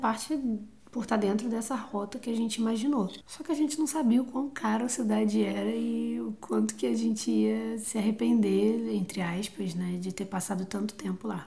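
Here a woman talks at a moderate pace with hardly any pauses. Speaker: travel podcaster. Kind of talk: casual chat.

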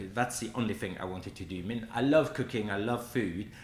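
Somewhat breathy, a man with a French accent speaks in a fairly low pitch. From France, Brittany. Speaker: pastry chef. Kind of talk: casual chat. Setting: studio.

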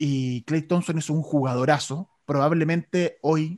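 In an ordinary speaking voice, a man talks at a fairly slow pace with fairly high pitch and ordinary pitch variation, the sound dry and close with no echo. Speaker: sports radio host. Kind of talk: casual chat.

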